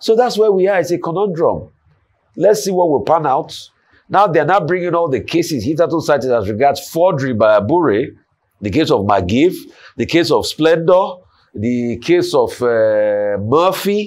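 A man's fairly high voice with very wide pitch swings, at a moderate pace. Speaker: news commentator. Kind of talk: news discussion. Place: studio.

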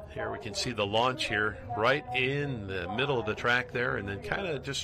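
Over noticeable background noise, a man talks at a moderate pace with lively intonation. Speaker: play-by-play commentator. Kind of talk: sports commentary.

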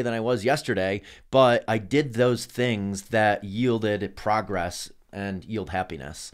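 A man's fairly low voice with ordinary pitch variation against a quiet background. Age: 40s. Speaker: endurance athlete and entrepreneur; podcast guest. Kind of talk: casual chat. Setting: studio. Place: studio. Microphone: studio mic.

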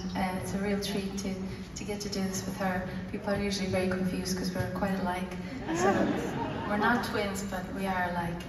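A woman talks at a fairly quick pace with audible room echo and noticeable background noise. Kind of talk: stage banter to audience. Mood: warm, slightly shy. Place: hall.

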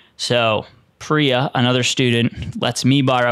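A man talks at a moderate pace with fairly even intonation. The sound is dry with no echo against a quiet background. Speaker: podcast host. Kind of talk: storytelling podcast monologue. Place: studio. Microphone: studio mic.

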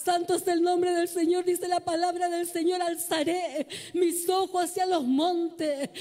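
A woman's dark, mellow voice at an extremely high pitch, fairly slow and flat in a monotone. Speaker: preacher. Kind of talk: sermon, preacher in full flow, exhorting the congregation. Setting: church with congregation. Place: church. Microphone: handheld.

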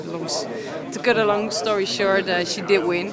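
A woman with a Dutch accent over loud background noise. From Netherlands. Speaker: fighter. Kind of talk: post-fight interview. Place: hall.

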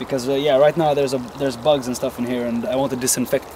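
A man speaks with a fairly high pitch and fairly even intonation. The sound is dry with no echo, and there is noticeable background noise. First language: not English. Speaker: bushcraft outdoorsman. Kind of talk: casual outdoor tutorial talk to camera. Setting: outdoors. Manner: hesitant, with stuttering and many filler words. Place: forest.

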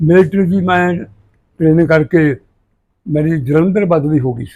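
The tone is dark and mellow, with ordinary pitch variation and big swings in loudness. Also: man. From Punjab, India. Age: 80s+. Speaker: organic farmer, former soldier. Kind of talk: interview answer.

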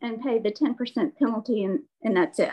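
In a quiet background, a woman speaks fairly slowly with ordinary pitch variation. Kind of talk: staff report at meeting. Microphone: video call.

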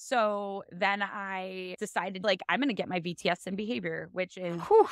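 A woman speaks at a moderate pace, recorded dry with no echo against a quiet background. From US Midwest, Ohio (East Cleveland). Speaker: animal behavior specialist, former veterinary technician. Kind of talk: casual chat. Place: home room. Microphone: video call.

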